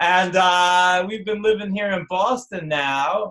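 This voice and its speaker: A man speaks with a New Jersey accent. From New Jersey, North Jersey. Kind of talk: live online class. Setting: live video stream. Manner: casual, animated.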